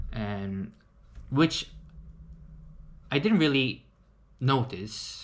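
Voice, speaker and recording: A man's voice, medium in pitch. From South Korea. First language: Korean. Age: 30s. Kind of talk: casual talk to camera.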